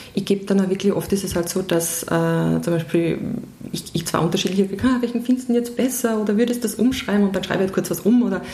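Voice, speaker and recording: At a very fast pace, a woman with a medium pitch speaks over noticeable background noise. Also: ordinary pitch variation. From Austria, Vienna. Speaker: music PR specialist. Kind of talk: interview. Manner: halting, many fillers.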